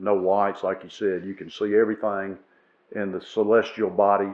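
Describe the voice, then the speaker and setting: In a Southern US accent, a man speaks at a moderate pace with a fairly low pitch and monotone, flat intonation. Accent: Southern American. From northern Alabama. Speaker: retired judge and historian. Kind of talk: podcast interview answer.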